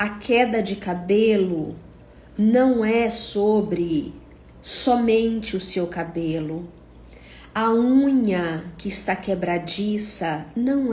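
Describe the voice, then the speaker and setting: The voice is somewhat breathy, with a dark, mellow tone and ordinary pitch variation. Room echo is audible. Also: woman. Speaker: psychotherapist. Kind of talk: monologue talk to camera. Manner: slow.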